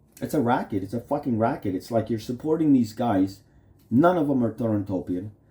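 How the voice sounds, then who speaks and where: This man's voice sits at medium pitch, dark and mellow in tone and somewhat breathy. He talks at a fairly quick pace with lively intonation. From Canada. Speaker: vlogger. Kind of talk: casual rambling monologue. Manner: halting, stammering with fillers; animated.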